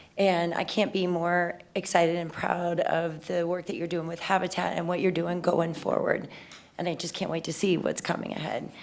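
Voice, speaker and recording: Vocal fry runs through this woman's fairly low voice. She keeps a moderate pace with monotone, flat intonation. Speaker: city council member. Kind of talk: public meeting remarks.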